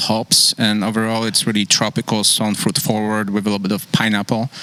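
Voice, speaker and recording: A man at medium pitch and a moderate pace, with noticeable background noise. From Poland. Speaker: brewery co-founder and brewer. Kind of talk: casual chat.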